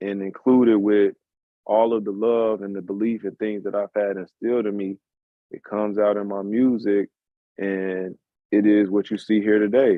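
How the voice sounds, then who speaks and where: In a fairly low voice, a man speaks with a monotone, flat intonation. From Chicago. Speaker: musician. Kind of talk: casual chat.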